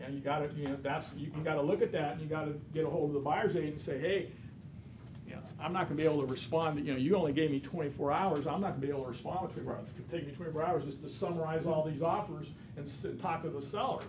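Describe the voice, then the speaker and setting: Amid noticeable background noise and audible room echo, a man talks very fast. His pitch is fairly high and his intonation fairly even. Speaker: real estate instructor. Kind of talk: lecture. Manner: loud.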